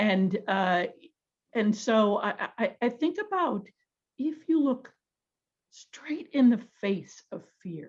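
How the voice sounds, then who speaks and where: A woman speaks at a very slow pace with long, frequent pauses, her voice somewhat breathy. Her fairly high pitch swings very widely. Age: 60s. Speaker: panelist. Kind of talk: panel discussion.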